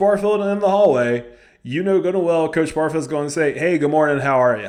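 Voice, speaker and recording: A man with a fairly high pitch and lively intonation, in a Southern US accent. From US South. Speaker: high school head football coach. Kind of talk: coaching advice vlog. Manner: casual, conversational.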